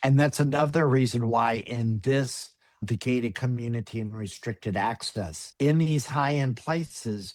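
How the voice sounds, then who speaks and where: A man uses a normal speaking voice at medium pitch, with ordinary pitch variation, a fairly slow pace and hardly any pauses. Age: 60s. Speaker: personal chef. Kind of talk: webinar presentation.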